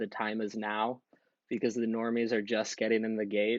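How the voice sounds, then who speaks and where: Here a man with a medium pitch speaks in a monotone, flat intonation. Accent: American. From US, Washington DC area (northern Virginia). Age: 20s. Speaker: university student and commentator. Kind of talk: podcast interview.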